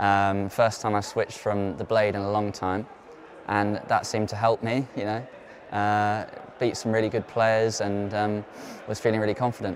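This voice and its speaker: With a southern English accent, the speaker keeps a moderate pace and a monotone, flat intonation over noticeable background noise. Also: man, fairly low pitch for a man. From southern England, Oxfordshire. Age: 20s. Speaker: professional tennis player. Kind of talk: interview.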